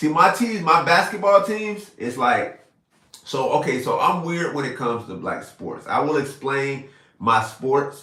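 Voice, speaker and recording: Animated in tone, the voice has a Florida accent and lively intonation at a fairly slow pace. Audible room echo surrounds it. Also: man, fairly high pitch for a man. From South Florida. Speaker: live streamer. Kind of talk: casual live stream chat. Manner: animated, casual.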